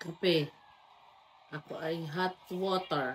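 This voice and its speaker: This woman speaks with fairly even intonation. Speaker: vlogger, housewife. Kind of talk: vlog voice-over narration. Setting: at home, early morning. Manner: soft-spoken, quiet; casual, joking.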